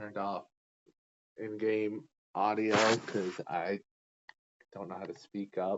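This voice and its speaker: Quiet and fairly low-pitched, a man talks at a fairly slow pace. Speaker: gaming streamer. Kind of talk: casual let's-play commentary. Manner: hesitant, many fillers. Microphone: too quiet.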